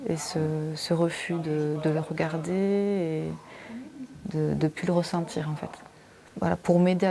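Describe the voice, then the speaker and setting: With long, frequent pauses, a woman speaks in a fairly low pitch and a monotone, flat intonation against noticeable background noise. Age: 30s. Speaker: breast cancer patient. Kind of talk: testimony. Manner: halting.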